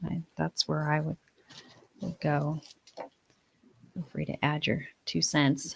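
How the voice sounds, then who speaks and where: Her very deep, low pitch edged with vocal fry, a woman speaks at a very slow pace in a monotone, flat intonation with long, frequent pauses, the sound dry and close with no echo. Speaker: co-host of a dog craft and recipe channel. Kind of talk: casual chat while baking. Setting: kitchen. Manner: hesitant, many fillers.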